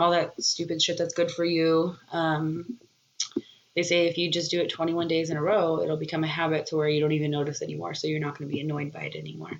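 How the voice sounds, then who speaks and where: A woman's fairly low voice at a very fast pace with monotone, flat intonation. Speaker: podcast host. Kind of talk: casual chat. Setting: home recording. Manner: casual, laughing.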